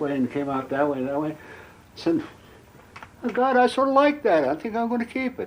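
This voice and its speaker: With an American accent, a man talks at a fairly quick pace and with lively intonation over noticeable background noise. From Montana. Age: 70s. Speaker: painter. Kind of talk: interview. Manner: halting.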